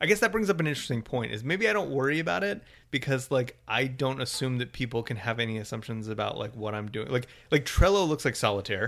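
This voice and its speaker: Lively intonation marks a man's medium-pitched voice. He speaks at a very fast pace. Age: 30s. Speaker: podcast co-host. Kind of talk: casual chat.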